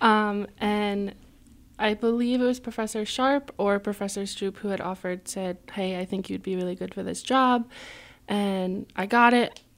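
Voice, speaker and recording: Recorded very cleanly against a silent background, a woman with an American accent uses a normal speaking voice at a medium pitch and a moderate pace. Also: fairly even intonation. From Connecticut, US. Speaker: college student. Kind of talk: radio interview. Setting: radio studio.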